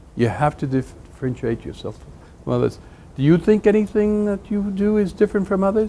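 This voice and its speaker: A high-pitched male voice with a dark, mellow tone at a fairly quick pace. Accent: Spanish. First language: Spanish. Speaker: business executive, guest speaker. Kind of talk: talk to students. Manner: halting.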